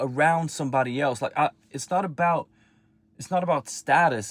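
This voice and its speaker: A man talks at a moderate pace with ordinary pitch variation in a very clean recording with a silent background. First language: not English. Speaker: self-improvement vlogger. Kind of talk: personal vlog monologue. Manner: halting.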